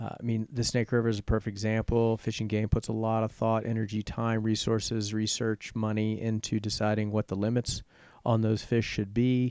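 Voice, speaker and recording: A man with an American accent at medium pitch, fairly quick and monotone, his intonation flat. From Richmond, Virginia. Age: 50s. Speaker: real estate agent. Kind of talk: casual interview.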